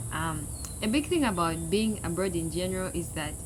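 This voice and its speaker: Spoken at a fairly quick pace with a Zambian accent, the clip carries noticeable background noise and audible room echo. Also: woman. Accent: Zambian accent, kept. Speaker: international student vlogger. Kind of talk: casual unscripted talk to camera. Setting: outdoors.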